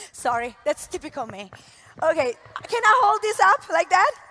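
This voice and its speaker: A raised, projected voice carries an Italian accent. Noticeable background noise is present. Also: woman. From Italy. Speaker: network marketing leader. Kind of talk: motivational talk. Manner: animated, uses hands.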